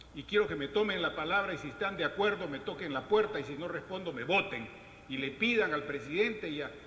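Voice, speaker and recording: Through noticeable background noise, a man with a high pitch speaks at a moderate pace with lively intonation. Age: 60s. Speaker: government environmental official. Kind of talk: panel discussion. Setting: round table with audience. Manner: animated.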